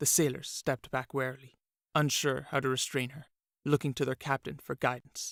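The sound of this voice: An unforced reading voice is heard. The background is quiet.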